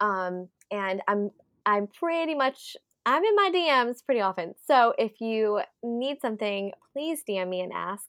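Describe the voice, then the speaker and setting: Bubbly, energetic woman with a fairly high pitch, lively intonation and fairly slow pace, in a dry, close sound with no echo. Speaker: photographer and nonprofit founder. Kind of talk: casual interview.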